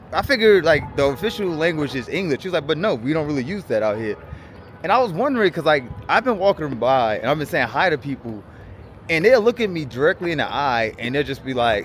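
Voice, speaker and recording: A man with a strong New York accent talks at a very fast pace and fairly high pitch, with very wide pitch swings. Music plays in the background. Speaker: travel vlogger. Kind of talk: casual travel vlog chat, livestream.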